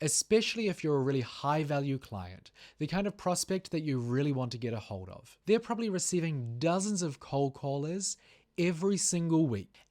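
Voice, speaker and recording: Fairly quick speech comes in a New Zealand accent. It is a very clean recording with a silent background. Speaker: sales trainer. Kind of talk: tutorial.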